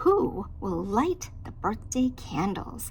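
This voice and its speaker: Against clear background noise, a woman uses a put-on character voice at a very slow pace. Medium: read story. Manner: anxious.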